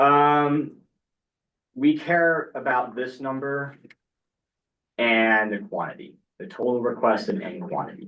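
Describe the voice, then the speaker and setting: Speaking very slowly with long, frequent pauses, a man uses a fairly high pitch and big swings in loudness. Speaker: student government committee chair. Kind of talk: committee meeting. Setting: meeting room with online participants. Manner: casual.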